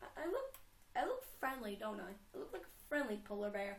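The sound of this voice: Speaking at a fairly quick pace, a woman with a medium pitch swings her pitch widely and slips into vocal fry.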